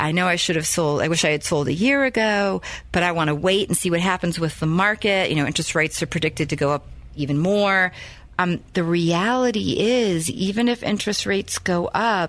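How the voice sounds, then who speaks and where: A woman talks at a fairly quick pace with a fairly low pitch. Her loudness stays very even, and her pitch variation is ordinary. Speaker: radio show host and realtor. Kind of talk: radio show monologue. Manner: fast.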